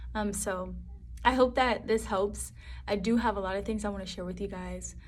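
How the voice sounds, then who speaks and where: A woman talks at a fairly quick speed, her voice carrying audible room echo. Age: 20s. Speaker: vlogger. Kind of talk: casual talk to camera. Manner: fast; animated.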